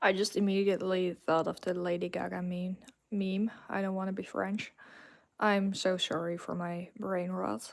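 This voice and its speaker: In a monotone, flat intonation, a woman speaks with a Dutch accent. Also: medium pitch for a woman, moderate pace. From Netherlands. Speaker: gaming streamer painting figures. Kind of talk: casual live stream chat.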